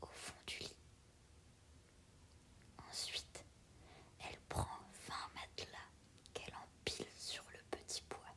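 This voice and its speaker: Someone whispers at a very slow pace. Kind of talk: read story. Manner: whispered.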